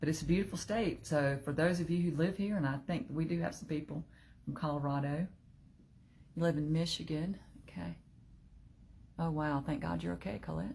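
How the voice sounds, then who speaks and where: Long, frequent pauses break up this woman's fairly quick speech, delivered in a Southern US accent with a very deep, low pitch, a dark, mellow tone, vocal fry, and ordinary pitch variation. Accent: southern twang. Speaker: online group leader. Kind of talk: casual livestream talk. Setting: live video stream.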